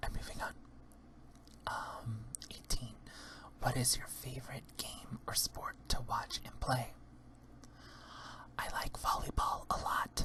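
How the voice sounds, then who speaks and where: Whispered words come at a very slow pace, broken by long, frequent pauses, with noticeable background noise behind them. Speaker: drag queen ASMR creator. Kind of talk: ASMR whispered Q&A.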